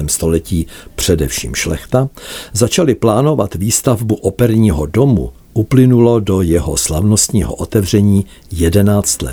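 Noticeable background noise sits behind a man whose fairly low voice moves at a fairly slow pace with lively intonation. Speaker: music journalist. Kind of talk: scripted narration.

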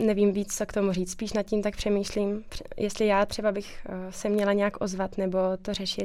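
At a moderate pace, a woman speaks at a medium pitch. Her intonation is monotone and flat. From Czech Republic, Krkonoše. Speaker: dental student. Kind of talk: interview.

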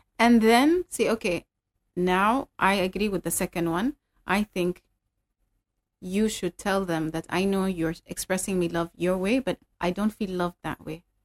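With a normal speaking voice, a woman talks at a fairly slow pace in a medium pitch and ordinary pitch variation, the sound dry and close with no echo on a very clean recording with a silent background. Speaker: life coach and speaker.

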